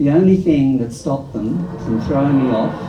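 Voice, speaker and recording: Amid noticeable background noise and audible room echo, a man talks at a moderate pace with ordinary pitch variation. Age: old. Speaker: performer in an elders' theatre workshop. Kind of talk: storytelling performance.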